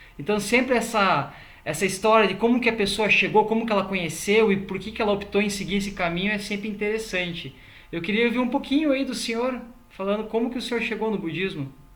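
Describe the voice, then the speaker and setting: The speech goes at a very fast pace. Noticeable background noise is present. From Brazil. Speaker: interview show host. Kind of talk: interview.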